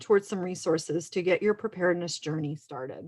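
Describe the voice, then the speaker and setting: A woman talks in a Texan accent at a moderate pace. Her pitch variation is ordinary. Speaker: emergency manager. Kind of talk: presentation.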